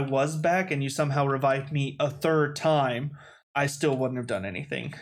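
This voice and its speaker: With fairly even intonation, a man talks at a fairly high pitch in an unremarkable speaking voice. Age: 20s. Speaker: podcast co-host. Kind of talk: casual chat. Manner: laid-back, jokey.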